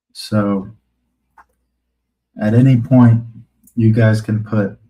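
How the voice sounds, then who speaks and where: A man's fairly low, somewhat breathy voice, dark and mellow in tone, monotone and flat at a very slow pace. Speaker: RC hobby YouTuber. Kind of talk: live stream chat. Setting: live stream.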